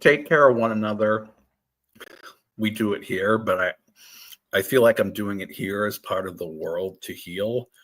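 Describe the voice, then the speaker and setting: A man speaks at a fairly slow pace in an unremarkable speaking voice, his pitch fairly low with ordinary variation. His loudness swings widely. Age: 50s. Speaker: tarot reader, guest. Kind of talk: casual chat. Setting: live stream.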